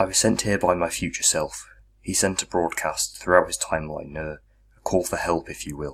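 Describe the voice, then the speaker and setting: A man speaks in a put-on character voice, very deep and gravelly. His pace is moderate. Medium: read story. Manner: gruff, terse.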